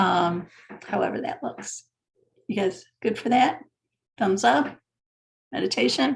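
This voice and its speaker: Calm in tone, a woman at medium pitch uses vocal fry and very wide pitch swings, leaving long, frequent pauses. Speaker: spiritual teacher. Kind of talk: online class talk; guided meditation. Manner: casual, with fillers; slow, calm.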